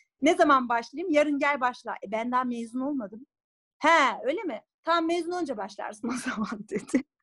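A woman's high-pitched, animated voice with a bright, sharp tone and lively intonation. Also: moderate pace. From Turkey, Bursa. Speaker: lawyer and singer. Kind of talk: interview.

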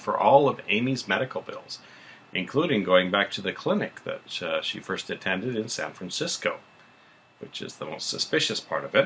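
A man talks at a moderate pace. Light background noise can be heard. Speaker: show recap host. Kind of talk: casual recap commentary. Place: home room. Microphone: webcam.

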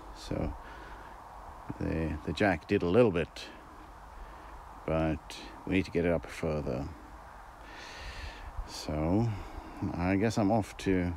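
Very slow and marked by long, frequent pauses, a man speaks with a very deep, low pitch and ordinary pitch variation. The sound is dry with no echo, over light background noise. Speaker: hobby tractor owner. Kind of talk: casual vlog chat. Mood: relaxed, wry. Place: farm machine. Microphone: phone near.

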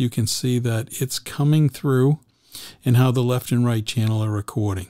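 Against a quiet background, a man's dark, mellow tone comes through dry, with no echo. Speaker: podcaster showing his gear. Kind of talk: casual tutorial. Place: home room. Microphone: studio mic.

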